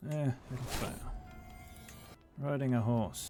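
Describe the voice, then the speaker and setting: The man speaks at a medium pitch while music sounds behind him. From Australia. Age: middle-aged. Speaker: gaming let's-play creator. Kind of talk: casual live gameplay commentary.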